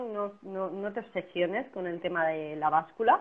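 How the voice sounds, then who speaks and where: Speech in a Spanish accent comes at a fairly slow pace. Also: woman. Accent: Peninsular Spanish. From Spain. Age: 30s. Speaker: personal trainer. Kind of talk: casual interview on a livestream. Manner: animated.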